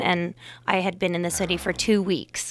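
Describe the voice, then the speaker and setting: On a very clean recording with a silent background, a woman with an American accent and medium pitch speaks at a moderate pace in a plain, everyday voice. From US California Bay Area. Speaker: drama teacher. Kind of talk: casual interview. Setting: studio.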